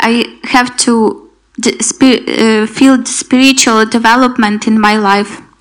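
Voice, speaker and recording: A woman with a high pitch speaks very slowly in a monotone, flat intonation. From Ukraine. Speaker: refugee sharing testimony. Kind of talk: testimony. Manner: halting, non-native English.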